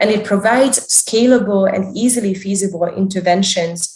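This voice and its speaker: Medium-pitched and somewhat breathy, a woman's voice at a moderate pace with ordinary pitch variation. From Hungary, Budapest. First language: Hungarian. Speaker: developmental psychologist. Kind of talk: interview, career talk.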